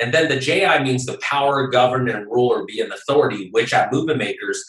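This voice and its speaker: A man with a General American accent talks at a very fast pace against noticeable background noise. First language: Japanese. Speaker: movement-building consultant. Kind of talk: interview.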